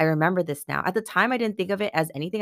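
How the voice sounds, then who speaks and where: She talks very fast. The speaker is a woman. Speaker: podcast host and coach. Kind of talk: casual monologue. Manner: rambling, filler-heavy.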